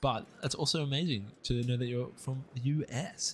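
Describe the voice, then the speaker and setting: Somewhat breathy, a man speaks at a medium pitch with an Australian accent. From Australia, east coast. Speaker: video game streamer. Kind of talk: live gameplay commentary and chat reading. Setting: live stream. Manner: fast.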